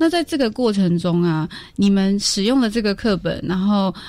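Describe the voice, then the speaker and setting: A normal speaking voice from a woman, medium pitch, moderate pace. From Taiwan, Eastern Paiwan community. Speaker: podcast host. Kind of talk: interview.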